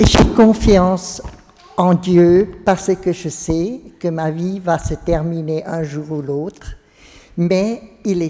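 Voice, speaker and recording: A woman speaks at a very slow pace. Her fairly low voice has a dark, mellow tone. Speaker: parishioner. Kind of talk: testimony. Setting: church. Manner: halting.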